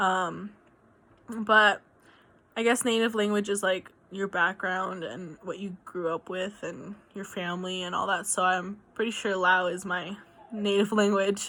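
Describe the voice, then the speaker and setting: A bright, sharp tone comes through at a fairly slow pace with fairly even intonation. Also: woman, medium pitch for a woman. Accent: American. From New Mexico, US (Albuquerque). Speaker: student. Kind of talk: video assignment monologue. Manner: hesitant, many fillers.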